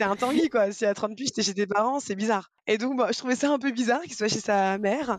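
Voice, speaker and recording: Hardly pausing at all, a woman talks at a very fast pace. Her pitch is fairly high. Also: ordinary pitch variation. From Brittany, France (Rennes). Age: 30s. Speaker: podcast guest, mother of a blended family. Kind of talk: casual interview chat.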